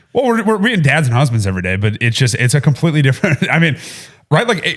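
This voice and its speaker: Loud and very fast, a man talks with a fairly high pitch, very wide pitch swings and vocal fry. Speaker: podcast co-host, food business founder. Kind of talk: casual chat.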